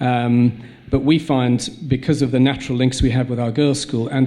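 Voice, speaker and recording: With noticeable background noise, a man speaks in a South African accent at a medium pitch, his intonation monotone and flat. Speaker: school head. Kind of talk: panel discussion. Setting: stage with audience. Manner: halting, many repetitions.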